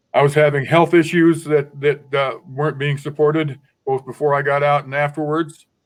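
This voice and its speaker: A man speaks in a fairly high pitch. His intonation is monotone and flat. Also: moderate pace. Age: 60s. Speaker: formerly incarcerated panelist. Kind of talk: panel testimony. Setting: webinar. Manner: halting, repetitive.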